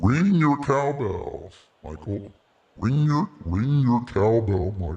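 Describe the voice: At a very slow pace, a put-on character voice carries a menacing tone. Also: man, medium pitch for a man.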